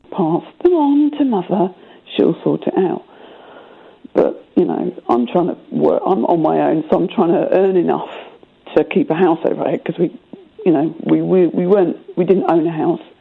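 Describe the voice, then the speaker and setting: Noticeable background noise behind a woman speaking at a moderate speed. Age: 30s. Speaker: caller. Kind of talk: phone-in conversation.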